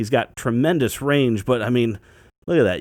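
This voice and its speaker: A man with a medium pitch speaks with lively intonation in an unremarkable speaking voice. The recording is very clean with a silent background. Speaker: toy reviewer. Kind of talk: product review. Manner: casual.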